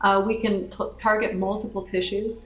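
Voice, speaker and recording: Noticeable background noise and audible room echo surround a woman who speaks at a moderate pace and medium pitch in a monotone, flat way. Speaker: biotech company founder presenting. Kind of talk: lecture. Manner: halting.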